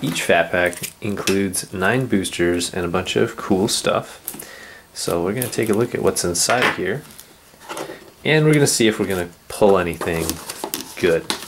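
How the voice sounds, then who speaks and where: A man's fairly low voice at a moderate pace, lively in intonation, with long, frequent pauses and noticeable background noise. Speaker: card game video host. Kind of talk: casual card-opening talk to camera.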